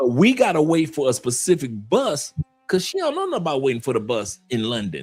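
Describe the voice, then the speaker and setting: Music plays behind a man whose animated tone comes with lively intonation. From Detroit, US Midwest. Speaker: live stream host on expat life. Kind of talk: casual chat.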